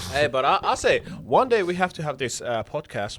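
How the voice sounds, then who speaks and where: A man speaks at a fairly quick pace. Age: 20s. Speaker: podcast guest. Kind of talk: casual chat.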